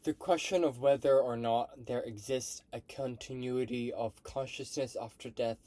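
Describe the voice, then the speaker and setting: This man has a medium-pitched voice with a dark, mellow tone. He speaks at a fairly slow pace. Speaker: vlogger practicing reading aloud. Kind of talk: reading aloud. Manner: halting, with restarts; casual.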